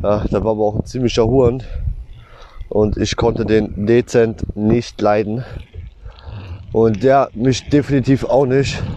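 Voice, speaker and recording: Speaking fairly slowly at a medium pitch, a man leaves long, frequent pauses and keeps his loudness very even. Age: 20s. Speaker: podcaster and textile machine operator. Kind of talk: casual monologue. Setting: outdoors, riding a bicycle. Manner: animated.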